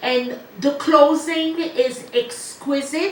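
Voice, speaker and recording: Through audible room echo and noticeable background noise, a woman speaks at a very slow pace with a strong French accent. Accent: heavy French. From Ivory Coast. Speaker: medium and musician. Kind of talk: interview.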